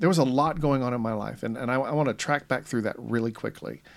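Speaking at a very fast pace with an American accent, a man shows ordinary pitch variation on a very clean recording with a silent background. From US South. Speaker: podcast host. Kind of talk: casual chat.

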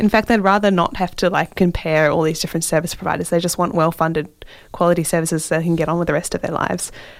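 The delivery comes at a very fast pace. Its intonation stays fairly even. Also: woman, fairly low pitch for a woman. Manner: relaxed, casual, chatty and a little hesitant, with many 'um's and self-aware laughs.

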